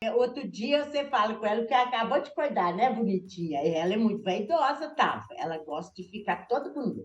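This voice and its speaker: A somewhat breathy voice at a fairly quick pace, with very wide pitch swings and hardly any pauses. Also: woman, fairly high pitch for a woman. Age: 60s. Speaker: shoe store owner. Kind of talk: interview on video call.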